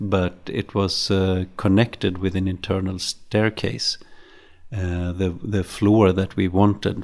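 A man speaks very slowly in a Swedish accent, his pitch very deep and low. His intonation stays monotone and flat. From Sweden, Stockholm. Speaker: serial entrepreneur. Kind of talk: interview. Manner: halting.

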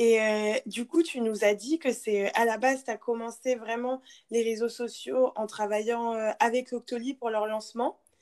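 A woman's fairly high-pitched, ordinary speaking voice, fairly slow with fairly even intonation, on a very clean recording with a silent background. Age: 20s. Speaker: podcast host, business school student. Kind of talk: interview.

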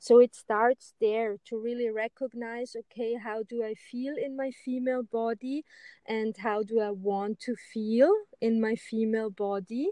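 A woman speaks at a fairly slow pace with fairly even intonation. Her voice is fairly high-pitched, with a dark, mellow tone. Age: 40s. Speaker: spiritual women's teacher. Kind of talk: casual interview.

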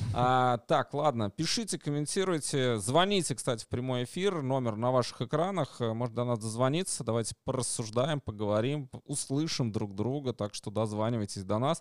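An ordinary speaking voice from a man at medium pitch, moving at a moderate pace with hardly any pauses. The intonation is lively, and the sound is dry and close with no echo. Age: 40s. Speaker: stream co-host. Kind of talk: casual chat.

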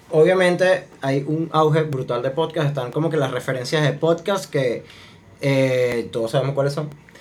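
Speaking with a Venezuelan accent, a man talks at a moderate pace with a fairly high pitch and ordinary pitch variation. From Venezuela, Maracay. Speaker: podcast host. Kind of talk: casual chat.

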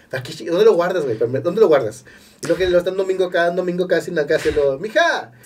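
This man talks at a very fast pace. His high voice has ordinary pitch variation. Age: 40s. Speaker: actor and stand-up comedian. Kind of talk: casual chat.

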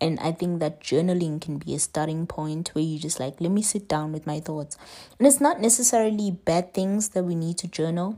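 In a very clean recording with a silent background, a woman with a non-native accent speaks fairly quickly at a fairly low pitch, her tone dark and mellow and her pitch varying in an ordinary way. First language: not English. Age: 20s. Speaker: podcast host. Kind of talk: solo monologue on wellness. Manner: casual, conversational.

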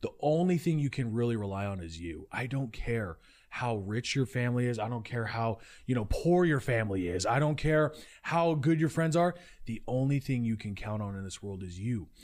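On a very clean recording with a silent background, a man with an American accent speaks at a moderate pace and medium pitch with lively intonation. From Utah. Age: 20s. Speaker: entrepreneur. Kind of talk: casual chat. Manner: loud.

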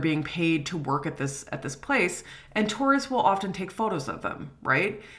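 Moderately paced speech with audible room echo. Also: woman. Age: 30s. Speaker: history professor. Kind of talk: lecture.

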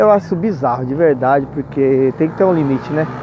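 A man talks at a fairly quick pace and a fairly high pitch, with noticeable background noise behind him. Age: 40s. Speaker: podcaster and rapper. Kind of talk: casual monologue. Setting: outdoors, walking on the street at night. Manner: laughing often.

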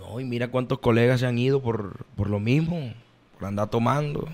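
Noticeable background noise accompanies a man speaking at a moderate pace and a medium pitch. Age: 20s. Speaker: vallenato singer. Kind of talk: casual interview.

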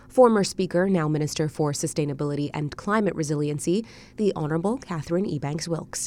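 The voice runs at a very fast pace with a dark, mellow tone and ordinary pitch variation. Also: woman, fairly low pitch for a woman. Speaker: radio newsreader. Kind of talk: scripted evening news bulletin read in a brisk, even, formal broadcast cadence. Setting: studio. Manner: formal; measured and steady.

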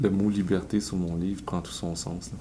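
A man with a Quebec accent speaks at a very deep, low pitch in a dark, mellow tone. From Quebec, south shore of Montreal. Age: 40s. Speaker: entrepreneur and author. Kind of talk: interview.

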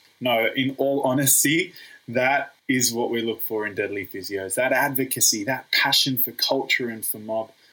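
A man at a moderate pace, with an Australian accent. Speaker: podcast host, physiotherapist. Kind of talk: interview.

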